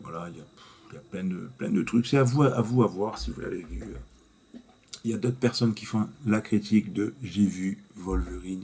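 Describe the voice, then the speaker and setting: Soft-spoken, with a dark, mellow tone and vocal fry, at a moderate pace with ordinary pitch variation and big swings in loudness. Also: man, fairly low pitch for a man. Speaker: YouTuber, movie reviewer. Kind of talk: casual vlog review. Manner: halting.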